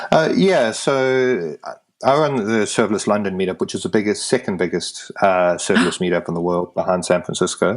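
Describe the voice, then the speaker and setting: Lively intonation in a strong British accent, at a fairly quick pace with hardly any pauses. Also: man, fairly low pitch for a man. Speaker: tech meetup organiser. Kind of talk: podcast interview. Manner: halting with repetitions.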